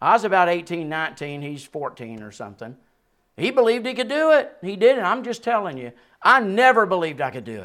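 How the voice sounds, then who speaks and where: A man talks at a very fast pace in a Southern US accent, his high, bright, sharp voice making very wide pitch swings. His loudness swings widely too, on a very clean recording with a silent background. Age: 60s. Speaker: preacher. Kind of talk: sermon. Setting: church.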